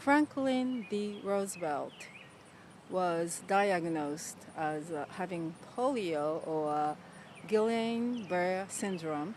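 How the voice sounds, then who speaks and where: Using lively intonation, a woman with a Japanese accent and a medium pitch speaks at a very slow pace. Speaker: motivational video host. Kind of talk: motivational talk.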